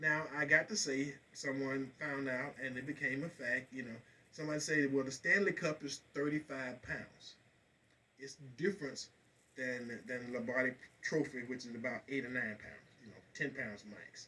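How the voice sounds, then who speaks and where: A man with an American accent talks at a medium pitch and a moderate pace in a bright, sharp tone. His intonation is fairly even, but his loudness swings widely. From Florida. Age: 60s. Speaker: radio talk show host. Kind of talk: casual talk radio monologue.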